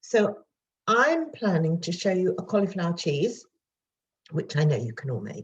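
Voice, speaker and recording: A woman speaks with a British accent. Her pitch sits in the middle range. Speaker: home cooking video presenter. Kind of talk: cooking tutorial. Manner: fast; chatty.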